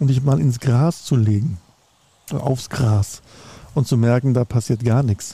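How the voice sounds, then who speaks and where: Heard in a dry, close sound with no echo, a man speaks at a moderate pace in a dark, mellow, somewhat breathy tone. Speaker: sales analyst and business consultant. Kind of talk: casual chat. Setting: outdoors.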